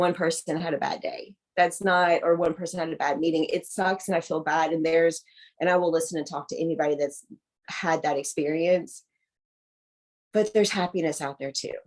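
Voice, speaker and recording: In a Southern US accent, a woman speaks with a fairly low pitch. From US South. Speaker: adoptee. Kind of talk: casual chat. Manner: animated.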